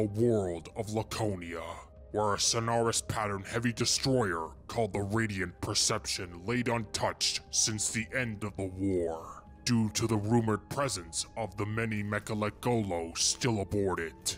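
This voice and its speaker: In a put-on character voice, a man speaks at a moderate pace with a fairly low pitch and a solemn tone, hardly pausing, over clear music in the background. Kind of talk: dramatic lore narration. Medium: machinima. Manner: solemn, formal, ceremonial.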